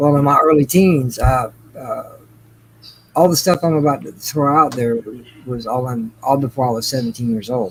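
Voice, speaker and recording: Speaking at a medium pitch and a moderate pace, a man uses ordinary pitch variation and takes long, frequent pauses. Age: 40s. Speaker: guest on a stream. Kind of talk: testimony.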